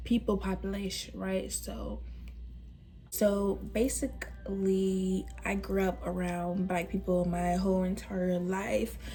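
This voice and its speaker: In a room with audible echo, a woman talks at a very slow pace. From US South, Atlanta, Georgia. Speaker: vlogger. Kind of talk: casual vlog talk. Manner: casual, filler-heavy.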